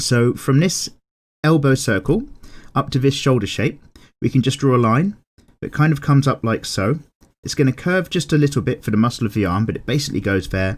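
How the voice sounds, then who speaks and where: On a very clean recording with a silent background, a man with a plain, everyday voice talks at a fairly quick pace, medium in pitch, with lively intonation. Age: 30s. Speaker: drawing tutor. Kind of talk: tutorial.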